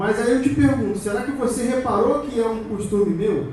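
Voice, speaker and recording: Against noticeable background noise and audible room echo, a man speaks in an animated tone at a moderate pace. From Brazil, Rio de Janeiro. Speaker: security conference speaker. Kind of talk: conference talk. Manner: animated, conversational.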